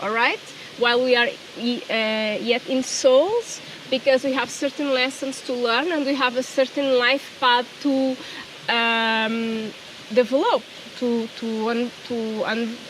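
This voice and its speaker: A woman with a Portuguese accent, high-pitched, at a fairly slow pace with fairly even intonation, amid noticeable background noise. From Portugal. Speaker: spiritual coach. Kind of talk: personal vlog. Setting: outdoors. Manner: halting.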